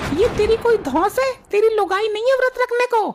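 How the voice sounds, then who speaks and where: This woman uses a cartoonish character voice pitched extremely high, speaking at a moderate pace. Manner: brash, bargaining.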